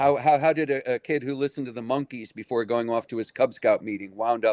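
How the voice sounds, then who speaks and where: A man with an American accent talks at a fairly quick pace in a medium pitch, with fairly even intonation and a dry, close sound with no echo. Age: 60s. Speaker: musician. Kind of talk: casual chat. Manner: halting.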